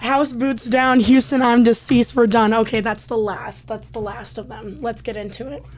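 A woman at a fairly high pitch and moderate pace, with hardly any pauses, big swings in loudness, and noticeable background noise. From Indiana (Elkhart). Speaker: entertainment reporter and podcast host. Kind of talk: casual chat. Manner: animated.

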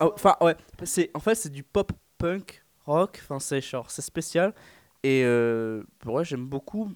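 This man talks at a very slow pace. His intonation is lively. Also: dry, close sound with no echo. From northern France. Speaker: drummer, student. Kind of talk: radio interview. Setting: studio.

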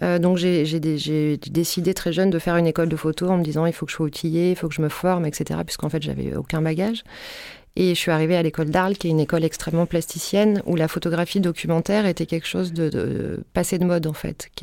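Very fast, monotone, flat delivery from a woman with a fairly low pitch and a dark, mellow tone. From southern France. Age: 40s. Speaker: photographer. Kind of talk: casual chat. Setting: studio. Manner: halting, many fillers and repetitions.

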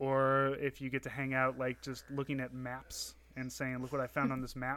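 A man speaks at a fairly quick pace, his fairly high voice carrying a bright, sharp tone. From Saint Louis, Missouri. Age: 30s. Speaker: podcast co-host and military reservist. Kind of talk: casual interview chat. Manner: hesitant, filler-heavy.

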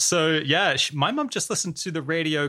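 A man speaks with an Australian accent in a bright, sharp tone. The recording is very clean, with a silent background. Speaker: podcast host. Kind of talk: casual chat. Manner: halting.

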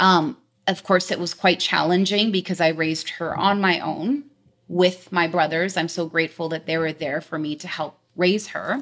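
A woman with a Canadian accent, an ordinary speaking voice, ordinary pitch variation and a moderate pace. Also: fairly low pitch for a woman. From British Columbia, Canada (Delta, near Vancouver). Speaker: insurance sales agent. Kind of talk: interview.

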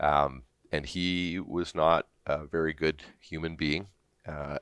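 In a dry, close sound with no echo, a man with a Canadian accent speaks at a very deep, low pitch, monotone and flat, with vocal fry. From Southern Ontario, Canada. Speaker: business executive. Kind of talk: interview. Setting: studio.

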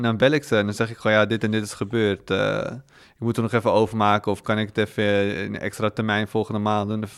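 Monotone and flat, a man with a fairly low pitch rattles along at a very fast pace. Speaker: podcast guest who was in debt. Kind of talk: casual interview. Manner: calm.

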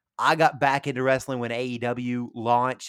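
A man with a medium pitch and a Tennessee accent, in a dry, close sound with no echo and a very clean recording with a silent background. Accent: Southern US (Tennessee). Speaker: radio sports show host. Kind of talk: casual chat. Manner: halting, many fillers.

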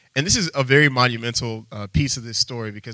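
A man with an American accent speaks in a plain, everyday voice at a medium pitch. His pace is fairly quick, with ordinary pitch variation. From Texas. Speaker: preacher. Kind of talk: sermon. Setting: church.

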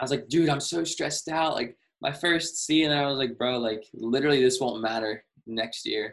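A man talks at a moderate pace with a fairly high pitch and ordinary pitch variation. He has a plain, everyday voice. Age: 20s. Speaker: sneaker reseller and student. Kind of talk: casual chat. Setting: video call.

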